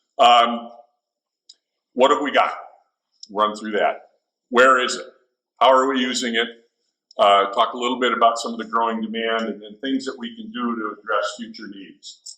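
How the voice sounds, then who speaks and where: A man at a medium pitch speaks with a bright, sharp tone and monotone, flat intonation at a moderate pace, with long, frequent pauses, big swings in loudness and audible room echo. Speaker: water district manager. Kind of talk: presentation. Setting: stage with audience.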